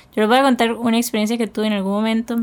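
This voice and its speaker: A woman with monotone, flat intonation. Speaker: podcast co-host. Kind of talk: casual chat.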